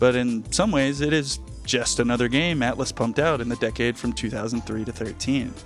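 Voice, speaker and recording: Music plays in the background as a man speaks at a fairly quick pace. His pitch is medium, and his intonation is fairly even. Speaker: video essayist. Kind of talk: video essay narration. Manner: flat, drab.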